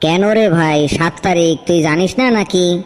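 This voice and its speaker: It is a cartoonish character voice that sounds female. The pitch sits in the middle and the pace is moderate. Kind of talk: comic cartoon dialogue. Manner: casual village-style chatter.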